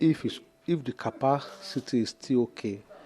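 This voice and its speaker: A man speaks in a dry, close sound with no echo. Noticeable background noise can be heard. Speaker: phone repair technician. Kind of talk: tutorial. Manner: soft-spoken; halting.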